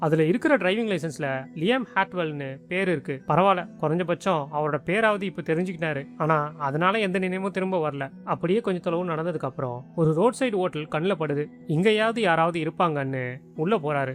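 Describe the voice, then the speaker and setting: A man with a Chennai accent, high-pitched, with ordinary pitch variation and music in the background. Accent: Chennai Tamil. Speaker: movie explainer narrator. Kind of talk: movie plot recap narration. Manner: casual, conversational.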